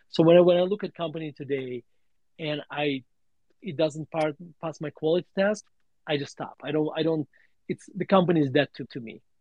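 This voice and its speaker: At a fairly quick pace broken by long, frequent pauses, a man with a Russian accent speaks at a fairly high pitch with ordinary pitch variation. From Russia (USSR). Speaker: value investor and author. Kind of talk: interview on a live audio space. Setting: online audio room.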